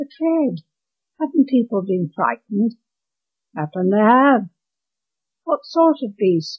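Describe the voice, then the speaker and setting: A woman speaks at a very slow pace. Her pitch swings very widely, and her voice is somewhat breathy. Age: 80s+. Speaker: author reading own story. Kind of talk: story reading.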